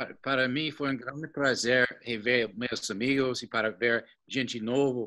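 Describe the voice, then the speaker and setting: A bright, sharp tone with a non-native accent comes at a fairly slow pace on a very clean recording with a silent background. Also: man. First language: not Portuguese (speaking Portuguese). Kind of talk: closing remarks. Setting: live stream. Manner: halting.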